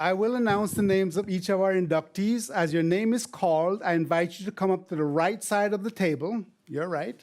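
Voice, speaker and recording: A man in a Caribbean accent, high-pitched, at a fairly quick pace with hardly any pauses, ordinary pitch variation and very even loudness. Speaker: former university administrator. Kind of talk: ceremony speech.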